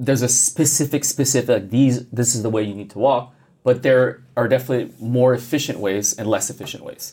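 A dark, mellow, somewhat breathy tone at a fairly quick pace, with big swings in loudness. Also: man. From Quebec, Canada. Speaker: physical therapist. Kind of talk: interview conversation.

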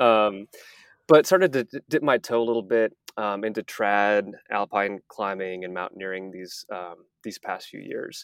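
A man with an American accent talks in a normal speaking voice at a fairly low pitch, with ordinary pitch variation and a moderate pace. The recording is very clean, with a silent background and a dry, close sound with no echo. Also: big swings in loudness. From Texas. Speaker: rock climber, accident survivor. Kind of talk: interview, personal story.

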